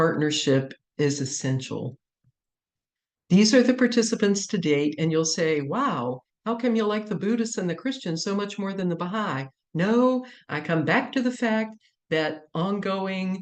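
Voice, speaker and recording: An ordinary speaking voice from a woman, medium in pitch, with lively intonation and a fairly slow pace. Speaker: chaplaincy researcher. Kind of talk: lecture.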